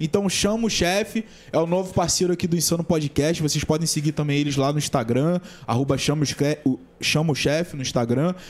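This is an ordinary speaking voice at a moderate pace with ordinary pitch variation. Its loudness stays very even. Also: man, fairly high pitch for a man. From Brazil, São Gonçalo (Rio de Janeiro state). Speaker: podcast host. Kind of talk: casual chat.

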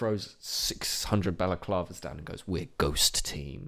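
This man's very deep, low voice has a bright, sharp tone and lively intonation as he speaks at a fairly slow pace. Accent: British. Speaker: podcast co-host. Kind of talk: casual chat. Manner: animated.

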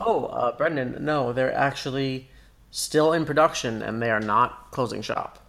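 A man speaks in a plain, everyday voice at a moderate pace. His pitch is medium, with ordinary pitch variation. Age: 20s. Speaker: podcast co-host. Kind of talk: casual chat.

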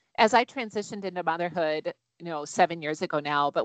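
In an ordinary speaking voice, a woman with an American accent talks at a fairly low pitch with ordinary pitch variation, recorded dry and close with no echo against a quiet background. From Wisconsin, US Midwest. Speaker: mom mentor, life coach. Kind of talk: interview conversation.

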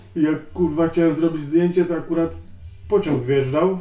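The man's speech shows ordinary pitch variation. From Tricity, Poland (Sopot). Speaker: graffiti writer. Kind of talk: casual interview, heavy swearing. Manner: halting.

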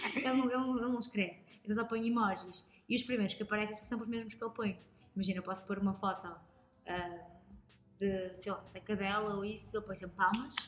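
Speaking at a very fast pace, a woman with a medium pitch sounds animated. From northern Portugal, Lousada. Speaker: reporter. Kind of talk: casual chat. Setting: taproom.

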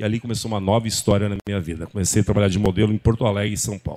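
A man speaks with a fairly low pitch. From Rio Grande do Sul, Brazil (Horizontina). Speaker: model scout. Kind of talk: interview.

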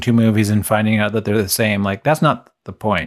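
A man's plain, everyday voice at a medium pitch and moderate pace against a quiet background. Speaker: podcast co-host.

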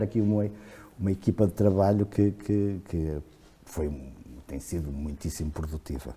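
Here a man talks at a fairly slow pace. His voice is fairly low, with a dark, mellow tone. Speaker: historian. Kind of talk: casual chat. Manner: halting, repeats words.

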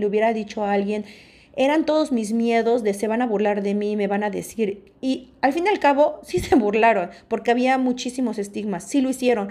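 With a Mexican accent, a woman speaks at a fairly high pitch and fairly quick pace in an animated tone with ordinary pitch variation. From Mexico. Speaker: podcast host. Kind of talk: personal talk monologue.

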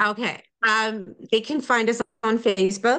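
A woman speaks in an American accent with an unremarkable speaking voice. Her pitch sits fairly high and varies in an ordinary way. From New Jersey / New York area. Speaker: parents' advocacy group leader. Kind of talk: interview.

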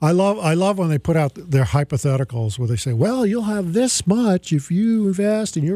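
On a very clean recording with a silent background, a man speaks at a high pitch in a dark, mellow tone. He moves at a fairly quick pace with hardly any pauses and lively intonation. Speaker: radio host and financial advisor. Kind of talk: live radio show, opening with a rant; pitchman-style rant against annuity sales, indignant and persuasive. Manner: impassioned, punchy, exasperated, emphatic; conversational, chatty, joking.

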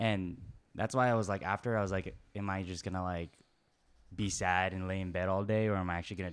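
At a very fast pace, a man with a very deep, low voice keeps his intonation fairly even on a very clean recording with a silent background. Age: 20s. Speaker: guest sharing breakup story. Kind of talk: casual chat.

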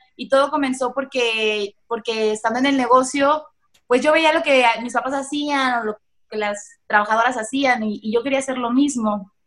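Her voice sits high for a woman and keeps a fairly even intonation. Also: moderate pace. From Mexico, Michoacán. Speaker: entrepreneur. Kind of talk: interview. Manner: halting.

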